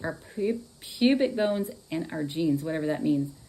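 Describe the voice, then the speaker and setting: A woman with a Texan accent, a very deep, low pitch, a dark, mellow tone and a moderate pace. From Texas. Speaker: astrology and tarot reader. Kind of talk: live stream horoscope reading. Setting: live stream. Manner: casual, chatty.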